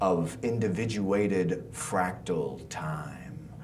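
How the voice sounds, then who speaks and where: A man speaks at a very slow pace in a very deep, low voice with lively intonation, over noticeable background noise. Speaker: spoken word artist. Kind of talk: poetry reading.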